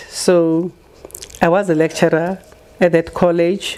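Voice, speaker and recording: Noticeable background noise sits behind a woman speaking at a very slow pace. Her pitch is fairly low and her intonation is monotone and flat. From South Africa, Pretoria area. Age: 80s+. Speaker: retired teacher and community organizer. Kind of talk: interview. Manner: hesitant, with fillers.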